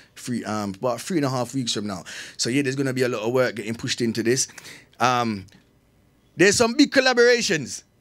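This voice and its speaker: On a very clean recording with a silent background, a man with a Jamaican accent talks at a very fast pace but with long, frequent pauses, his pitch medium and its variation ordinary. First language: Jamaican Patois. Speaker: dancehall artist. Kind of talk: radio interview. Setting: studio.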